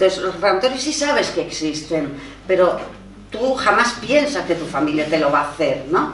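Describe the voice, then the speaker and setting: Her delivery is fairly quick. The woman is heard through audible room echo along with noticeable background noise. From Spain, Barcelona. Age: 60s. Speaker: writer and feminist activist. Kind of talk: personal testimony at a panel talk. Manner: animated storytelling.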